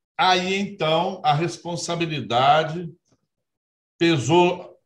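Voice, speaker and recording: Using ordinary pitch variation, a man with a high pitch speaks at a very slow pace. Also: long, frequent pauses. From Minas Gerais interior, Brazil. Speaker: judge, electoral court president. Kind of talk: interview. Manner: formal.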